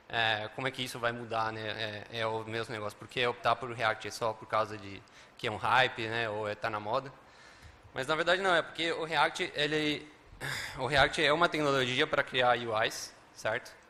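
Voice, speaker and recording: A man's medium-pitched voice with a Spanish accent and a bright, sharp tone, at a moderate pace with ordinary pitch variation. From Uruguay, Montevideo. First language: Spanish (speaking Portuguese). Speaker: software developer and conference speaker. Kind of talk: conference talk. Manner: many filler words and hesitations.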